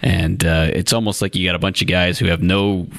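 A man speaks with an American accent in a very deep, low voice. Noticeable background noise runs underneath. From northeast Ohio (Lake County). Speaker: sports journalist co-host. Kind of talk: casual chat. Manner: halting, many fillers.

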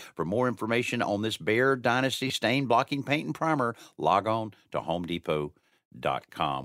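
With a very clean recording and silent background, a man's medium-pitched voice with vocal fry comes through dry and close with no echo, upbeat in tone, with lively intonation at a fairly quick pace. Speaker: radio host. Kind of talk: radio host patter. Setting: studio. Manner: upbeat, chatty, fluent broadcaster cadence with teasers and segment cues.

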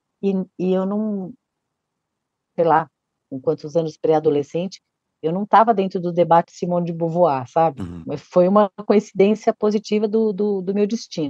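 Her tone dark and mellow, a woman speaks at a moderate pace and medium pitch with ordinary pitch variation and long, frequent pauses, in a dry, close sound with no echo. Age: 50s. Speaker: children's book author. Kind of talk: interview.

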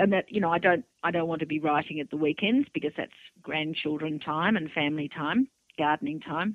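A woman with an Australian accent speaks at a fairly quick pace in a very deep, low pitch. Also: ordinary pitch variation. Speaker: author. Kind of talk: interview. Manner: plain, straightforward talk.

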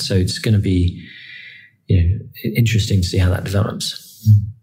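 Audible room echo surrounds this recording. A man speaks with fairly even intonation. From England. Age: 30s. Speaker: electric car executive. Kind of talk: interview. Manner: hesitant fillers.

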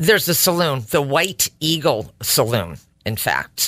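Speaking at a fairly slow pace with a bright, sharp tone, a woman with a Connecticut accent makes very wide pitch swings. The recording is very clean with a silent background and a dry, close sound with no echo. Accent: Connecticut, New England. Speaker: co-host, married to the other host. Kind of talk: casual conversation.

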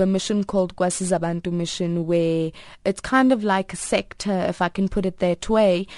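A woman speaks at a medium pitch with a dark, mellow tone and ordinary pitch variation. Her pace is moderate over a quiet background. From South Africa. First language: Afrikaans. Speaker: advert actress and multilingual speaker. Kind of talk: radio interview. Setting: radio studio.

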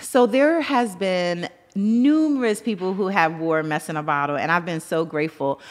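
With noticeable background noise behind her, a woman speaks at a fairly low pitch with lively intonation. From Brooklyn, New York. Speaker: entrepreneur. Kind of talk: interview.

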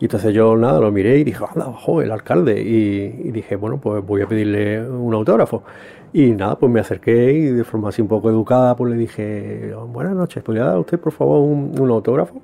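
Lively intonation from a man speaking at a fairly quick pace, with noticeable background noise. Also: medium pitch for a man. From Córdoba, Andalusia. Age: 40s. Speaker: local resident recounting a memory. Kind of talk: personal anecdote. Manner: halting, many repetitions.

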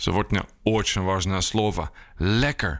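A man talks with a Dutch accent. The recording is very clean, with a silent background. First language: Dutch (speaking Ukrainian). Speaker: journalist and writer. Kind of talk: language lesson.

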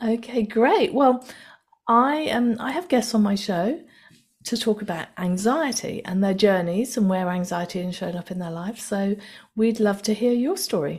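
On a very clean recording with a silent background, a woman speaks at a moderate pace with a fairly high, somewhat breathy voice and lively intonation. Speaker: podcast host. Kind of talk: interview.

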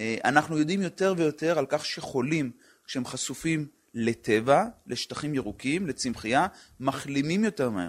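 A man with an ordinary speaking voice, fairly high in pitch, at a moderate pace with lively intonation, on a very clean recording with a silent background. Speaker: public health physician. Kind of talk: interview.

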